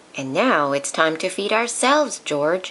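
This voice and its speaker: A female-sounding, put-on character voice at a middle pitch moves at a moderate pace with very wide pitch swings. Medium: read story.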